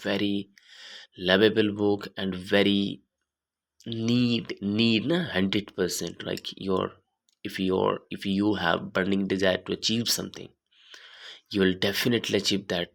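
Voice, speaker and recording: Speaking at a fairly slow pace with long, frequent pauses, a man with an Indian accent keeps a fairly low pitch and fairly even intonation on a very clean recording with a silent background. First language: Hindi. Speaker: YouTuber reading books aloud. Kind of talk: casual introduction before reading aloud. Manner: halting.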